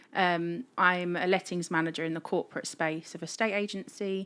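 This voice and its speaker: In a very clean recording with a silent background, a woman speaks with a fairly low pitch and a bright, sharp tone. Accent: English. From England, moved from Italy (Abruzzo) aged six. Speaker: lettings manager and mental health advocate. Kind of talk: personal testimony interview.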